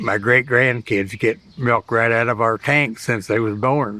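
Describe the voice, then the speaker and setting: With a Midwestern US accent, a man of medium pitch speaks at a fairly slow pace in a dry, close sound with no echo. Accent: rural Midwestern US. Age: 80s+. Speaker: dairy farmer. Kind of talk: interview testimony. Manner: halting.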